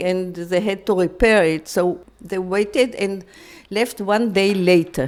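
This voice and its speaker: A woman's medium-pitched voice at a very slow pace. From Free City of Danzig, then Mauritius camp. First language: German. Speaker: Holocaust survivor. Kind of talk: testimony interview. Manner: halting.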